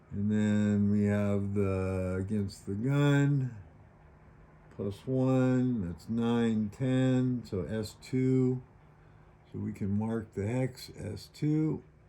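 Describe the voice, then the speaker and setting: With noticeable background noise behind him, a man speaks at a very slow pace in a fairly low pitch with ordinary pitch variation. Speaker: board wargame video maker. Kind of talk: tutorial.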